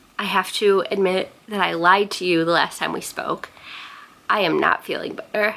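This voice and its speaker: A woman of medium pitch with fairly even intonation, amid noticeable background noise. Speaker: booktuber. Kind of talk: vlog. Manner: casual, chatty.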